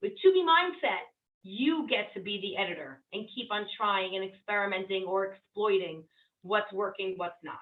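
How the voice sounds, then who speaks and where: At a moderate pace, a woman with a normal speaking voice and medium pitch talks with ordinary pitch variation and big swings in loudness. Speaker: weight loss coach. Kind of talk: group coaching session.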